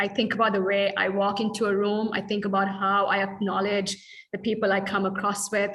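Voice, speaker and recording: A woman speaks in a fairly high pitch with a bright, sharp tone. Room echo can be heard. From Sri Lanka. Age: 30s. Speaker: dance artist. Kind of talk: workshop Q&A. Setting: video call.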